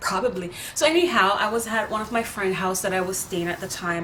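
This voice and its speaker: The speaker is a woman. Audible room echo surrounds her voice. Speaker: vlogger. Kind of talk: storytelling monologue. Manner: casual, with filler words.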